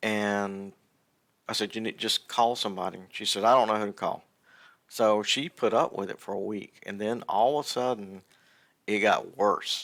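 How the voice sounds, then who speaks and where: Recorded very cleanly with a silent background, a man with a Southern US accent speaks at a moderate pace in a fairly low pitch with fairly even intonation. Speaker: gaming streamer. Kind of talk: casual livestream chat. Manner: halting, many fillers and restarts.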